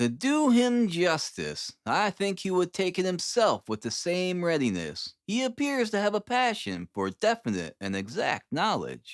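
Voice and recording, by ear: In a very clean recording with a silent background, a man does a put-on character voice at a high pitch, going fairly slowly with few pauses and very wide pitch swings.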